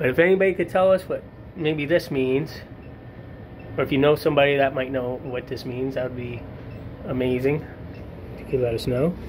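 Light background noise sits behind a man. His intonation is fairly even. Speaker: amateur ghost hunter filming. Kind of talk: casual vlog chat. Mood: curious, hushed. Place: home room. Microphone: phone near.

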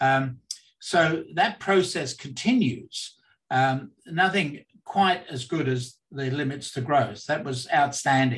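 This man's voice sits fairly high in pitch with ordinary pitch variation. His pace is very slow. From London, England. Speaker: academic and think tank member. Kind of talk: interview.

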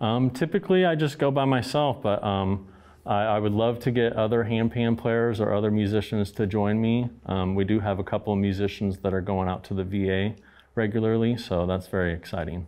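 A man talks at a fairly quick pace in an ordinary speaking voice. His pitch sits fairly low, with ordinary pitch variation. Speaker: guest. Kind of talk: interview answer. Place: studio.

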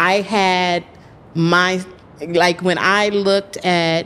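In an American accent, a woman speaks very slowly with fairly even intonation. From Texas, US South. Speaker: writer and producer; podcast guest. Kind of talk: interview. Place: studio. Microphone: studio mic.

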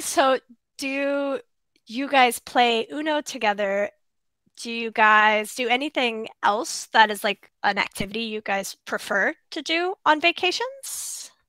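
Speaking very slowly, a woman with an American accent uses a high pitch, lively intonation and a bright, sharp tone. The sound is dry with no echo, and the background is quiet. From USA. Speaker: English tutor. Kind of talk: casual chat. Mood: friendly, cheerful. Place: home room.

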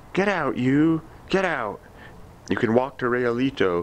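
Putting on a character voice, a man of medium pitch talks at a moderate pace with very wide pitch swings. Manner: harsh, commanding.

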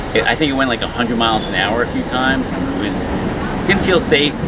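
A man speaks over loud background noise. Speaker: travel vlogger. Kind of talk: casual vlog chat. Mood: mildly uneasy, summing up. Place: station. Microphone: phone near.

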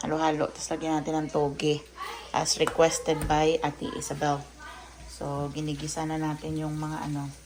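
A woman with a very deep, low voice speaks at a moderate pace in monotone, flat intonation, with noticeable background noise behind her. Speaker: vlogger and homemaker. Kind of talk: cooking vlog. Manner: casual, chatty.

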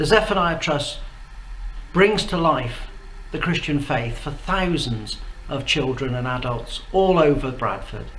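A man speaks at a fairly slow pace with lively intonation. Room echo is audible. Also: fairly high pitch for a man.

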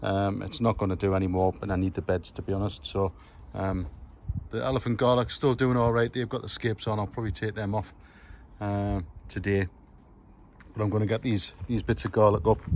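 Over light background noise and with a dry sound and no echo, a man with a plain, everyday voice speaks fairly quickly at a fairly low pitch with ordinary pitch variation. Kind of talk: casual vlog chat. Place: garden. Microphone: phone near.

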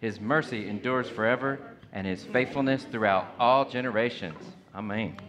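The speech moves at a moderate pace with ordinary pitch variation over light background noise. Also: man. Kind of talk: liturgical reading and announcements. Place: hall.

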